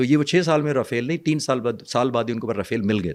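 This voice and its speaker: A man's ordinary speaking voice at a medium pitch, on a very clean recording with a silent background. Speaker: retired air force pilot, defence analyst. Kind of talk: interview explanation.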